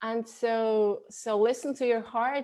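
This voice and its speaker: Over a quiet background, a voice with a non-native accent and a dark, mellow tone speaks with fairly even intonation. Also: woman. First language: not English. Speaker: spiritual coach. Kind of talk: interview. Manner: halting, with many repetitions.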